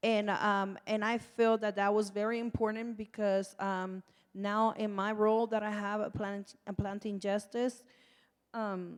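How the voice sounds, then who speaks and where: At a fairly slow pace, a woman speaks with a medium pitch in a monotone, flat intonation. The recording is very clean, with a silent background. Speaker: nonprofit community organizer, formerly incarcerated. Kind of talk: panel discussion. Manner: loud.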